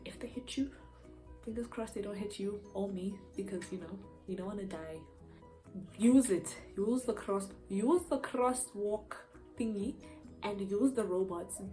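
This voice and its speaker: Over music in the background, a woman with an animated tone speaks at a medium pitch and a fairly slow pace, with ordinary pitch variation and long, frequent pauses. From Eastern Cape, South Africa. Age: young. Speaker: university student, YouTuber. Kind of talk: casual talk to camera. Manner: chatty, animated.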